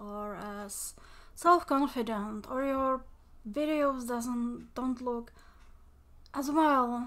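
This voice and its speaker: Mumbling at a very slow pace, a woman with a non-native accent speaks in a high voice. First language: not English. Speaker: mental health vlogger. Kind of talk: casual monologue. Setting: home recording. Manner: rambling, halting.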